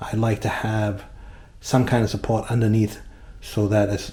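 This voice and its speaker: Somewhat breathy and relaxed, a man talks with a dark, mellow tone. His pitch is fairly low. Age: 60s. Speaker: tile installer. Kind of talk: tutorial. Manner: casual, relaxed with filler words.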